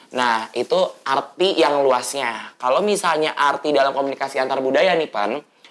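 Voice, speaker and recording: A woman speaks with a very deep, low pitch and ordinary pitch variation at a moderate pace, with hardly any pauses. Noticeable background noise is present. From Manado, North Sulawesi. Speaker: student podcast host. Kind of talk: explanatory lecture; casual chat. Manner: hesitant, many fillers.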